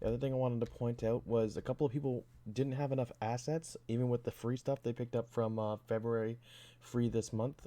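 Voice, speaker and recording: Against a quiet background, a man speaks at a fairly quick pace with a dark, mellow tone, a medium pitch and fairly even intonation. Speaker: hobbyist game developer. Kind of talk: tutorial. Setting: home at night, avoiding waking others. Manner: hesitant, many fillers. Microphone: new mic.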